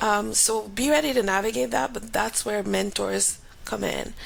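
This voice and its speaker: With a Grenadian accent, a woman speaks over noticeable background noise. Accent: Grenadian Caribbean. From Grenada. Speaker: aerospace engineer and professor. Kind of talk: interview. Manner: casual.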